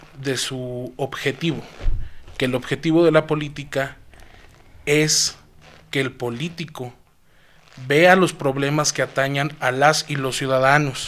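A fairly high voice belongs to this man. He speaks fairly slowly in a flat monotone. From Mexico, Zacatecas. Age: 20s. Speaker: young politician and public servant. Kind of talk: interview.

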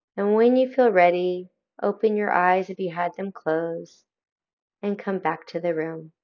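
A woman talks at a medium pitch in a plain, everyday voice. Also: ordinary pitch variation. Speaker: meditation guide. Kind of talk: guided meditation. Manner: calm, slow, soothing; gentle, inviting.

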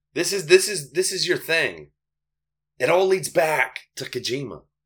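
Using vocal fry, a man speaks in an animated tone with very wide pitch swings. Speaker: podcast host. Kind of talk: casual banter. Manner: animated, joking.

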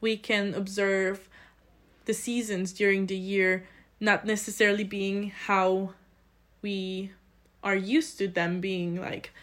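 A woman's medium-pitched voice with a Polish accent, very slow, with fairly even intonation and long, frequent pauses, on a very clean recording with a silent background. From Poland, small village. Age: 20s. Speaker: student, committee chair. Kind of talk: interview.

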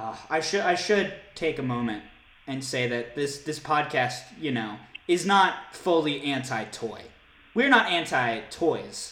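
A man speaks with lively intonation, with noticeable background noise and audible room echo. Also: fairly high pitch for a man, fairly slow pace. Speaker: podcast host. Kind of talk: casual chat.

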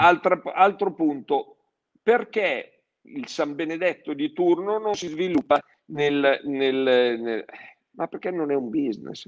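Here a man speaks in a high voice. His pace is very slow. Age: 60s. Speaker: plastics distribution executive. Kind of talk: public live-streamed conversation. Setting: live stream.

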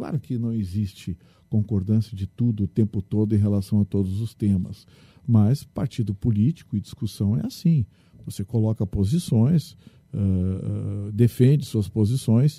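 A man speaks at a medium pitch and a fairly slow pace, his tone dark and mellow. His voice is somewhat breathy, with a dry, close sound and no echo. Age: 60s. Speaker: state legislator, lawyer and radio journalist. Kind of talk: interview.

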